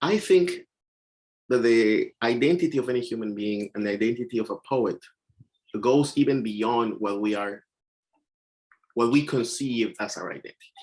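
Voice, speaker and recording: Pausing long and often, a man speaks at a moderate pace with a medium pitch and ordinary pitch variation. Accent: Mexican. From Mexico. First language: Spanish. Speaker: poet. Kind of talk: panel discussion. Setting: video call.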